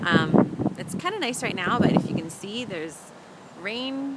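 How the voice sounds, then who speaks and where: Loud background noise surrounds a woman as she talks at a moderate pace. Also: dry sound with no echo. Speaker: vlogger. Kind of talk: casual vlog chat. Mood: upbeat, chatty. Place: street. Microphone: phone near.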